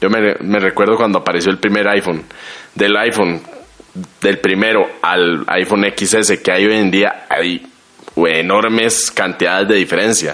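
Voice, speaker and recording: Against noticeable background noise, a man talks at a fairly slow pace in a flat monotone, his loudness very even. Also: fairly low pitch for a man. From Costa Rica. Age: 20s. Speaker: guest. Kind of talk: casual chat.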